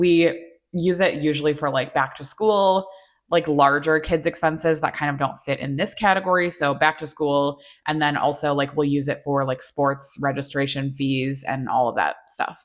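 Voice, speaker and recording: On a very clean recording with a silent background, a woman with a very deep, low pitch speaks at a moderate pace with fairly even intonation. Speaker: personal finance vlogger. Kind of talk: casual budget walkthrough. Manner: soft-spoken.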